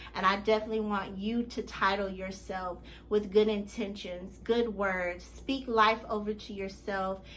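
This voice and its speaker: A woman speaks at a fairly slow pace with hardly any pauses, in a medium pitch. Her intonation is monotone and flat, and audible room echo surrounds the voice. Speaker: life coach. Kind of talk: motivational vlog monologue.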